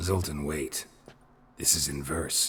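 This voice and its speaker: A man puts on a character voice. It is raspy and pitched very deep and low. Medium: video game. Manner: deadpan, laconic.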